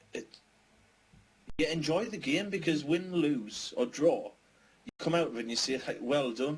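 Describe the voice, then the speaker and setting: A man with a northern English accent speaks at a fairly high pitch and moderate pace with lively intonation. His loudness swings widely, and he leaves long, frequent pauses. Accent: northern English, mistaken for Scouse. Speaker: gaming podcast co-host. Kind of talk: casual chat. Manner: animated.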